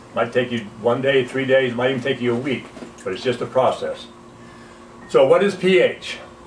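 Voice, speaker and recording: Over noticeable background noise, a man talks at a moderate pace and a medium pitch, with ordinary pitch variation. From US, Utah (Salt Lake City). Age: 70s. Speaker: alkalinity health educator, Navy veteran. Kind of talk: informal health talk / product demonstration.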